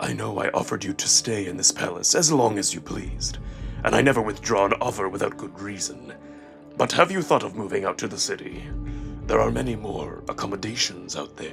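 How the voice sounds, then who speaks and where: A man in a put-on character voice speaks at a fairly quick pace over clear music in the background. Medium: read story. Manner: cold, stern, ominous.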